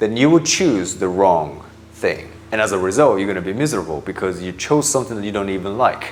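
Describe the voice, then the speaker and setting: A man with a Japanese accent, fairly low in pitch, with lively intonation at a moderate pace. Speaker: mindset coach. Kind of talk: motivational talk. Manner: emphatic.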